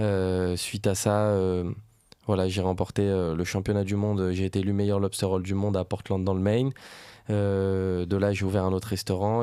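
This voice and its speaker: Monotone and flat, a man speaks at a fairly quick pace. His voice is fairly low in pitch, with a dark, mellow tone. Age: 20s. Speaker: restaurant entrepreneur. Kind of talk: podcast interview.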